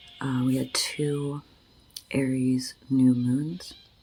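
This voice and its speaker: Over music in the background, a woman speaks very slowly at a very deep, low pitch. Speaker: ASMR astrologer and reiki healer. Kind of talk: casual talk to camera, astrology update.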